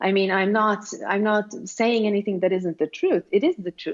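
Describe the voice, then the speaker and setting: A woman with a Swedish accent at a moderate pace. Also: quiet background. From Sweden. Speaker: self-help writer. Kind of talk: interview.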